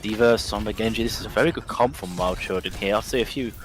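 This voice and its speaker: Music plays in the background as a man talks at a very fast pace. His pitch is medium with ordinary variation. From England. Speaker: esports caster and coach. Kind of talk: live commentary.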